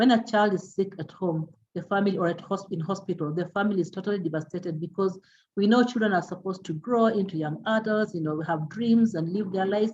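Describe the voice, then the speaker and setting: Speaking at a very fast pace, a woman uses a medium pitch, ordinary pitch variation and a somewhat breathy voice. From Kenya. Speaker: palliative care doctor. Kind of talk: lecture.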